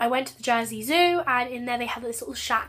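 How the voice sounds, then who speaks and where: In a Channel Islands accent, a woman rattles along at a very fast pace with a bright, sharp tone at a fairly high pitch, on a very clean recording with a silent background. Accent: British (Channel Islands). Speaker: book vlogger. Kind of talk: casual vlog.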